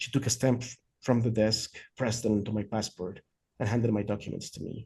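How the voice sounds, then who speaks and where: In a Spanish accent, a man speaks fairly quickly at a medium pitch with monotone, flat intonation. His tone is dark and mellow and somewhat breathy. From Mexico City. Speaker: author. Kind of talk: reading aloud. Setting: video call.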